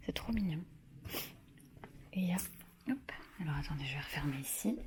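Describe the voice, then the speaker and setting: A woman at a fairly quick pace, with very wide pitch swings and noticeable background noise. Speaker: vlogger and author. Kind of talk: casual vlog tour. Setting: holiday rental, indoors and garden. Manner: soft-spoken.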